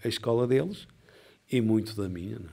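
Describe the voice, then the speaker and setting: A man speaks in a dark, mellow tone. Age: 60s. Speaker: boxing coach. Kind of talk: interview.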